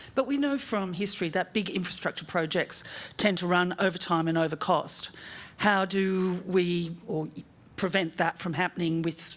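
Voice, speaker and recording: Talking at a moderate pace, a woman uses a plain, everyday voice, fairly low in pitch with ordinary pitch variation. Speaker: journalist. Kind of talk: press conference question.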